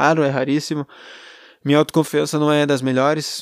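The sound is dry and close, with no echo. A man talks at a fairly high pitch. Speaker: podcaster. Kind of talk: solo monologue, personal venting. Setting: alone at girlfriend's home. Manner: rambling, hesitant.

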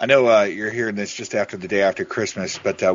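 Over noticeable background noise, a man with an American accent speaks at a fairly low pitch with fairly even intonation. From Oregon. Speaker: podcast co-host. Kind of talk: casual chat.

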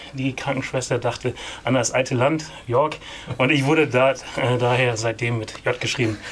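A man at medium pitch and a moderate pace, monotone and flat, with long, frequent pauses and noticeable background noise. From East Frisia, northern Germany. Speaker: film producer. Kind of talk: interview.

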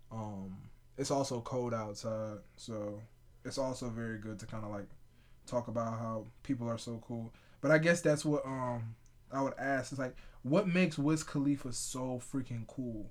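A man's voice sits at a medium pitch, varying in an ordinary way. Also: moderate pace. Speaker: podcast host. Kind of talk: casual chat.

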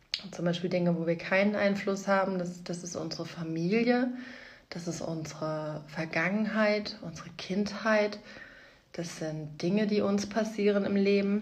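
A woman with a medium pitch and a somewhat breathy voice speaks fairly slowly with fairly even intonation, in a room with audible echo. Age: 30s. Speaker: podcast host, mother. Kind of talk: casual monologue.

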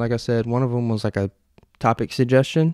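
A man with an ordinary speaking voice talks at a moderate pace in a medium pitch, the sound dry and close with no echo and the recording very clean over a silent background. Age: 20s. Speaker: solo podcast host. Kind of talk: casual solo monologue, livestreamed. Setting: home recording, live on Instagram. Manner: casual, conversational with filler words.

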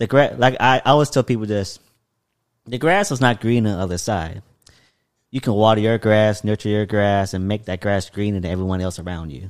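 This man has an unremarkable speaking voice, fairly low in pitch, moving at a fairly quick pace with ordinary pitch variation. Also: very clean recording, silent background. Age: 20s. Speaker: podcast host. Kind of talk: casual chat. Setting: in guest's apartment.

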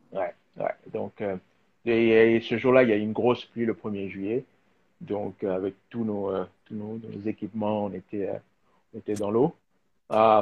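A man's fairly low voice, fairly slow and fairly even in intonation, broken by long, frequent pauses. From DR Congo. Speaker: filmmaker and designer. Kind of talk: live video interview. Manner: halting, many fillers and repetitions.

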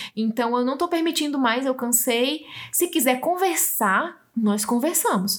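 A woman's high voice, with lively intonation, very even loudness and a fairly slow pace. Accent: northeastern Brazilian. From Brazil, Northeast. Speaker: podcast host. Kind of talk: reading aloud; casual chat.

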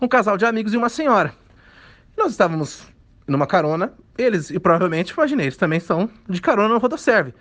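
This man talks at a fairly quick pace. His voice is high in pitch. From interior of São Paulo state, Brazil. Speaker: writer. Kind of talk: storytelling.

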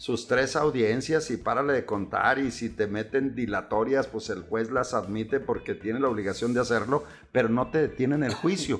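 On a very clean recording with a silent background, a man uses a normal speaking voice of medium pitch, with ordinary pitch variation, a moderate pace and hardly any pauses. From Chihuahua, northern Mexico. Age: 60s. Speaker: lawyer specializing in bank foreclosures. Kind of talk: casual interview.

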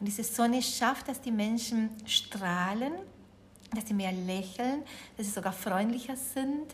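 With a Spanish accent, a woman talks using ordinary pitch variation. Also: fairly slow pace. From Uruguay. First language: Spanish (speaking German). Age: 40s. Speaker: yoga teacher and resilience trainer. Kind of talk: interview.

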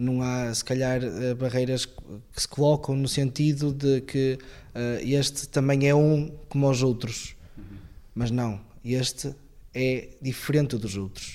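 This man talks very slowly in a medium-pitched, dark, mellow voice, with flat, monotone delivery and long, frequent pauses. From northern Portugal, Viana do Castelo. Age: 20s. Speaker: seminarian. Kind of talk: interview testimony.

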